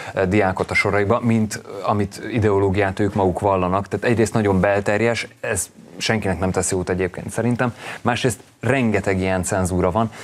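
Speaking at a moderate pace, a man keeps his fairly low voice in fairly even intonation. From Hungary. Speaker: talk show guest. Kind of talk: studio discussion. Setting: TV studio. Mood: earnest, mildly indignant. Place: studio. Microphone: lapel.

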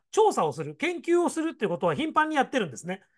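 Over a quiet background, a man's voice swings very widely in pitch. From Gifu, Japan; rural Japan. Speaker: education consultant and YouTuber. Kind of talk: solo commentary on education news. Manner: explanatory, fillers, opinionated.

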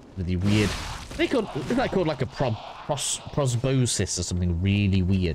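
A man talks in a fairly low pitch with very even loudness. Noticeable background noise sits behind him. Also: moderate pace. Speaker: gaming walkthrough streamer. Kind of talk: gameplay walkthrough commentary. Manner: casual, rambling, self-talking.

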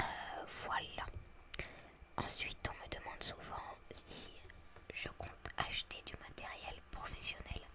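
A woman whispers at a very slow pace. Noticeable background noise is present. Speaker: ASMR content creator. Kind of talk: casual talk to camera about her channel. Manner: whispered, soft-spoken.

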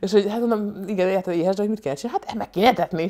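A woman talks at a very fast pace with an animated tone and lively intonation. The background is quiet. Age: 30s. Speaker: comedian and vlogger; comedian vlogger. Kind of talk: casual vlog monologue. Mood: humorous, animated storytelling. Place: home room. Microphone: lapel.

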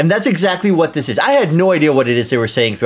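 A man with lively intonation. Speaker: reaction video host. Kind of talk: reaction commentary. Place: home room.

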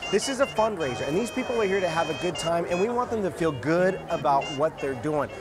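Clear music plays behind a man with a high voice and lively intonation. He talks at a fairly quick pace with hardly any pauses. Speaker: auctioneer. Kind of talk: interview answer. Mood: warm, upbeat.

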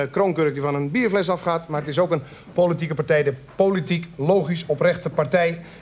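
At a fairly quick pace, a man talks in a high pitch with ordinary pitch variation and light background noise. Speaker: TV host. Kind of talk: TV talk show hosting. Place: studio.

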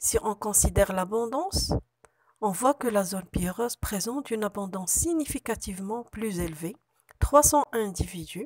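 A woman with a medium pitch speaks at a moderate pace with lively intonation, in an ordinary speaking voice. The sound is dry and close, with no echo. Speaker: university researcher. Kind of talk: conference presentation. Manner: formal.

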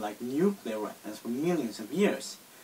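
With a Swedish accent and lively intonation, a man speaks at a moderate pace over light background noise. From Sweden. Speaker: video responder. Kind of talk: casual talk to camera. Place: home room. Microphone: phone near.

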